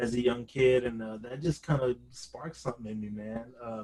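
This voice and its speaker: Speaking at a moderate pace with an American accent, a man uses a medium pitch, a somewhat breathy voice and fairly even intonation. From New Orleans, Louisiana, then California Bay Area. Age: 20s. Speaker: bass guitarist and hip hop producer. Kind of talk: interview. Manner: casual, with many fillers.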